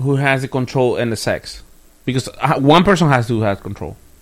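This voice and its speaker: Music plays in the background behind this man. His fairly high voice has an animated tone. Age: 30s. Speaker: podcast co-host. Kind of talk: casual chat.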